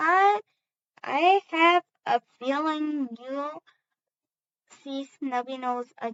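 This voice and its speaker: In a put-on character voice, a woman speaks at a high pitch and a very slow pace, with long, frequent pauses. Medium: read story. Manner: warm, gently stern.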